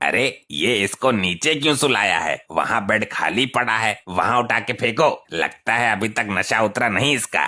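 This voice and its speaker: A man's cartoonish character voice with lively intonation, a moderate pace and very even loudness. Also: medium pitch for a man. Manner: blundering, gossipy.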